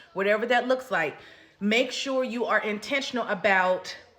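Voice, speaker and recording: Audible room echo around a woman speaking at a moderate pace, fairly high in pitch, with ordinary pitch variation. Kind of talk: sermon-style exhortation.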